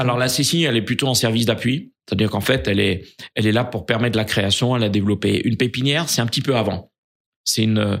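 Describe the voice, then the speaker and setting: A man's very fast speech at medium pitch, with ordinary pitch variation, very even loudness, and a very clean recording over a silent background. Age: 60s. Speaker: business leader. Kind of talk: interview. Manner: halting.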